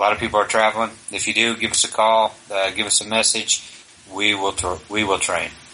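With noticeable background noise behind him, a man speaks flatly in a monotone at a fairly low pitch and a fairly quick pace. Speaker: podcast host. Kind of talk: casual chat.

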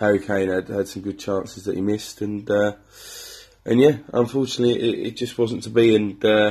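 A man with an English accent speaks at a fairly low pitch. His intonation stays fairly even. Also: fairly quick pace. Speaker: football podcast host. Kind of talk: casual monologue. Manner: hesitant, many fillers.

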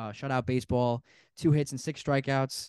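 An unremarkable speaking voice moves at a moderate pace in a dry, close sound with no echo and a quiet background. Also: man. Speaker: sports podcast host. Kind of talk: casual chat.

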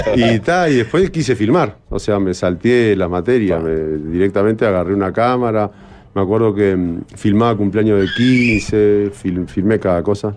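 A plain, everyday voice moves at a fairly slow pace with ordinary pitch variation. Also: man, fairly low pitch for a man. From Uruguay, Cerro of Montevideo. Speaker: film director. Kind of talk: casual interview chat.

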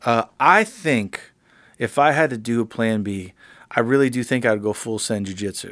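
In a very clean recording with a silent background, a man with an American accent speaks at a moderate pace in an unremarkable speaking voice, medium in pitch with ordinary pitch variation. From Miami, Florida. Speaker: podcast host, music producer. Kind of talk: casual chat.

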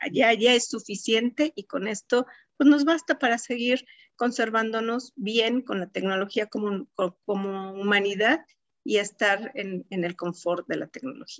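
A woman speaks with a Mexico City accent. Her pitch is fairly high. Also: ordinary pitch variation, fairly slow pace. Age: 50s. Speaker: telecommunications engineer. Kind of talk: interview conversation. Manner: hesitant with fillers.

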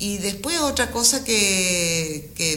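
With noticeable background noise and audible room echo, a woman speaks at a fairly low pitch with lively intonation. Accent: Rioplatense. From Argentina, Buenos Aires. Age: 50s. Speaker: painter and entrepreneur. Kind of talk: interview.

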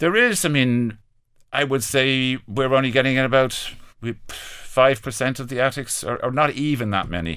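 A man with an Irish accent speaks at a moderate pace in a medium pitch with a bright, sharp tone. The recording is very clean, with a silent background. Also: ordinary pitch variation. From Ireland. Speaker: business owner. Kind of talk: interview. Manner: halting, repetitive.

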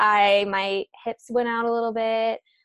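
In an American accent, a woman talks fairly slowly at a fairly high pitch, with monotone, flat intonation. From US Midwest, Chicago suburbs. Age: 20s. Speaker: self-love and mindset coach. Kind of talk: casual interview.

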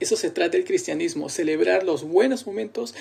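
At a moderate pace, a man speaks over noticeable background noise. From Peru, Lima. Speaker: church musician and worship leader. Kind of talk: casual podcast introduction.

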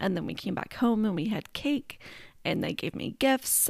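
Dry and close with no echo, a woman talks at a fairly quick pace and a fairly high pitch. Her voice has vocal fry and very wide pitch swings. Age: 40s. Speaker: podcast host. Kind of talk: casual personal storytelling monologue.

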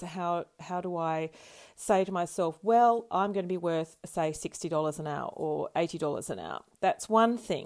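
A woman with an ordinary speaking voice, fairly low in pitch with ordinary variation, at a moderate pace on a very clean recording with a silent background. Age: 50s. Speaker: co-host, painter and ceramicist. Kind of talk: casual chat.

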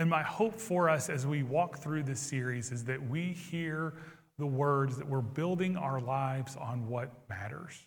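This man talks at a fairly slow pace with a fairly high pitch and ordinary pitch variation. His voice is somewhat breathy, and the room echo is audible. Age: 40s. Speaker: pastor. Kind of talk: sermon. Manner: hesitant fillers.

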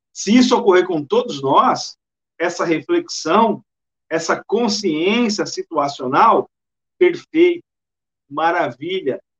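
A man's high-pitched voice with lively intonation, a very slow pace and long, frequent pauses, dry and close with no echo. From interior of São Paulo state, Brazil (Bauru). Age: 40s. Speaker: spiritist lecturer. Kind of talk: lecture.

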